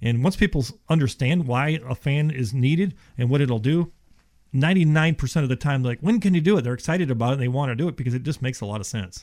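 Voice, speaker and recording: A man with an American accent, fairly high pitch, and somewhat breathy voice, talking at a very fast pace with ordinary pitch variation. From Ohio, then Houston, Texas from age 12. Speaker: insulation company representative. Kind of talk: sales-oriented radio interview. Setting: radio studio. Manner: casual, conversational with filler words.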